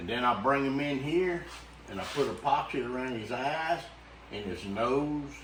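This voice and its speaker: A man with a Louisiana accent at medium pitch and moderate pace, ordinary pitch variation, noticeable background noise and audible room echo. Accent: Louisiana Southern US. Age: 70s. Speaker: taxidermist. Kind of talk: casual chat.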